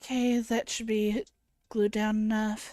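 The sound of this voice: Speech comes at a fairly slow pace in a dark, mellow tone, with little pitch movement. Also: woman, medium pitch for a woman.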